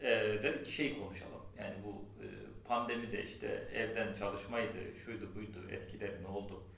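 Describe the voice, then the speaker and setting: A man talks at a fairly low pitch. Noticeable background noise and audible room echo surround his voice. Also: ordinary pitch variation, moderate pace. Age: 40s. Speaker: university lecturer and software consultant. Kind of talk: casual chat.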